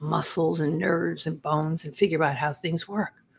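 A woman speaks with a very deep, low pitch. Her voice is somewhat breathy. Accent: New York. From Long Island, New York. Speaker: former medical examiner investigator and author. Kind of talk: interview.

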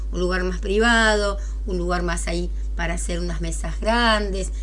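A woman speaks at a moderate pace in a very deep, low voice with monotone, flat intonation, over noticeable background noise and audible room echo. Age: 60s. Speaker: radio host. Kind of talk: casual chat.

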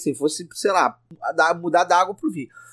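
A man's fairly quick speech with lively intonation, dry and close with no echo. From Rio de Janeiro state, Brazil (Petrópolis). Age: 40s. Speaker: podcaster. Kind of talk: casual chat. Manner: stammering repetitions.

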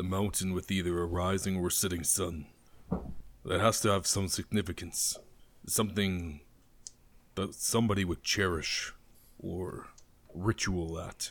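A man's put-on character voice, very deep and low, monotone and flat, at a moderate pace with long, frequent pauses, on a very clean recording with a silent background. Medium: actual play. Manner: terse, menacing, watchful.

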